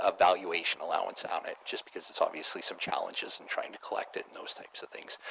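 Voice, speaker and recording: A man mumbles at a very fast pace. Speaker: auditor. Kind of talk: formal presentation to council. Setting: council chamber meeting. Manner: mumbling. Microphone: too far from the mic at first.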